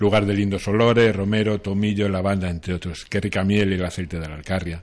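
With an ordinary speaking voice, a man speaks fairly quickly at a fairly low pitch. His intonation stays fairly even over a quiet background. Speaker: motorcycle route columnist. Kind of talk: radio segment.

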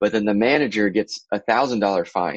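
An ordinary speaking voice from a man with an American accent, medium pitch, fairly slow pace, a dry, close sound with no echo, and a quiet background. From Florida, US. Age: 30s. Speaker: baseball coach. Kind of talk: casual interview.

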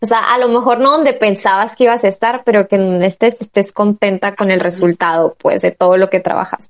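A woman with an ordinary speaking voice, medium pitch, ordinary pitch variation, fairly quick pace, hardly any pauses and very even loudness, in a dry, close sound with no echo. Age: 20s. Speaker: podcast host. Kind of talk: casual chat.

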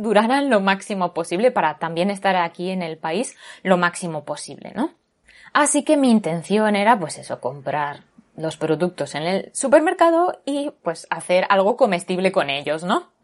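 Against a quiet background, a woman of medium pitch speaks with very wide pitch swings. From Spain, Barcelona. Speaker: podcast host. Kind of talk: casual chat.

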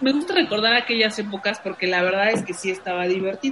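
A woman's fairly high voice with lively intonation at a moderate pace, amid audible room echo and noticeable background noise. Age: 30s. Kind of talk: casual chat.

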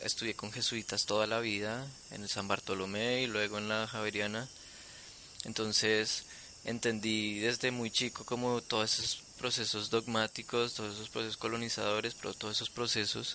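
A man talks at a moderate pace in a fairly low, monotone voice with flat intonation. Noticeable background noise can be heard. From Colombia, Bogotá. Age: young. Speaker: artist. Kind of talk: interview conversation. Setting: home studio in the jungle. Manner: hesitant with fillers.

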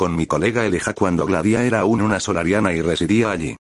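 A man speaks with a fairly low pitch and an unremarkable speaking voice. His pace is fairly quick, with ordinary pitch variation. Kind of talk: audiobook reading. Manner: formal, measured literary narration; shifts tone to voice characters in dialogue.

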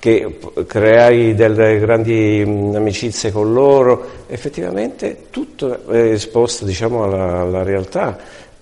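Fairly even intonation from a man, medium in pitch. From Italy. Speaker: retired hairdresser turned direct-sales distributor. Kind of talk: testimony. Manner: halting.

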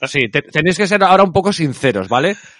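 A man talking at a fairly quick pace with lively intonation. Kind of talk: casual chat.

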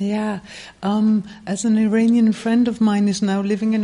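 The speech moves at a moderate pace through noticeable background noise. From Netherlands. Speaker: writer and journalist. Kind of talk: panel interview.

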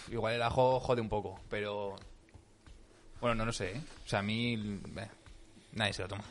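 Pausing long and often, a man with a fairly low pitch talks at a moderate pace with fairly even intonation, and the room echo is audible. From Aragón, Spain. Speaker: podcast host, comedian. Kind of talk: casual chat.

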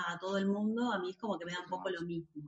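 At a fairly quick pace, a woman with an Argentine accent speaks at medium pitch with ordinary pitch variation. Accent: Rioplatense Argentine Spanish. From Buenos Aires, Argentina. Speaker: movement teacher. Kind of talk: interview.

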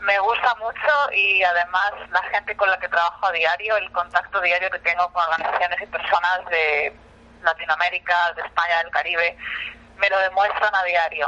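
The woman's voice sits at a fairly low pitch and moves at a moderate pace. Her intonation is fairly even. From Spain. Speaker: nonprofit program coordinator. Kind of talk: interview. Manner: hesitant, many fillers.

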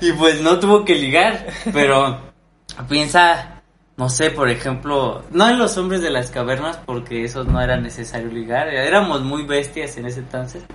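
There is audible room echo as a man with a fairly high pitch talks at a fairly slow pace, his intonation lively. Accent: Mexican. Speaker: podcast co-host. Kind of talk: casual chat.

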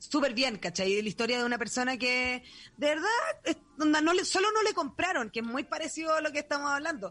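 A woman's high-pitched voice in a Chilean accent, bright and sharp in tone, with very wide pitch swings, very even loudness and a fairly quick pace. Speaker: podcast host. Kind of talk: casual chat. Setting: borrowed home studio.

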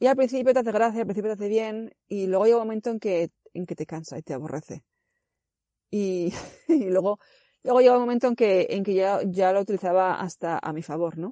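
A woman's dark, mellow voice at medium pitch and a fairly quick pace, with ordinary pitch variation and big swings in loudness, dry and close with no echo over a quiet background. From Spain, Zaragoza. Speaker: physiotherapist. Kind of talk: remote interview answers. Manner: hesitant, many fillers.

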